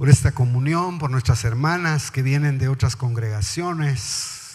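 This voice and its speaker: Somewhat breathy male voice at a fairly slow pace. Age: 60s. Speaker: pastor. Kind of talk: sermon. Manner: animated.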